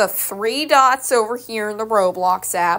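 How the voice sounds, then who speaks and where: A woman speaks at medium pitch in a bright, sharp tone with ordinary pitch variation. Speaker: gaming tutorial creator. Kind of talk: tutorial. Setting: screen recording. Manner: casual, hesitant with fillers.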